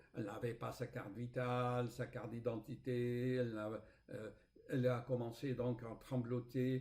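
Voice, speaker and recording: A man's somewhat breathy, dark, mellow voice at medium pitch, with a non-native accent and a fairly slow pace. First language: not French (speaking French). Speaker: spiritual author and YouTuber. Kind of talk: casual vlog storytelling. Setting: home recording with screen recorder. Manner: hesitant, with fillers and repetitions.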